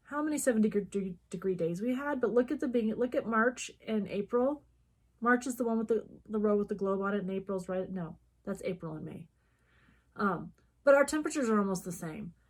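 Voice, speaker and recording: In a very clean recording with a silent background, a woman talks at a fairly quick pace with a fairly high pitch, lively intonation and a somewhat breathy sound. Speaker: cross stitch video co-host. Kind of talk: casual chat.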